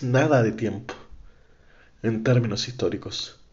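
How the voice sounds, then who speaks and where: A man with a Chilean accent. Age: 20s. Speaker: podcaster. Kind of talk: political monologue. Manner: impassioned.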